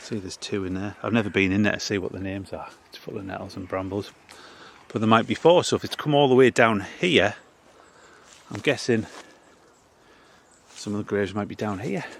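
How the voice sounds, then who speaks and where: A man speaks at a fairly quick pace and a fairly low pitch, with ordinary pitch variation and big swings in loudness. Long, frequent pauses break it up over noticeable background noise. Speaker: local history vlogger. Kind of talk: walking vlog narration. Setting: outdoors in a cemetery.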